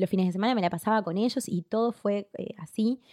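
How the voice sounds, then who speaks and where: The speaker has an Argentine accent and ordinary pitch variation. The sound is dry and close, with no echo. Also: woman. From Argentina. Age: 30s. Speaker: public relations graduate. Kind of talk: casual interview chat. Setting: host's room. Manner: fast.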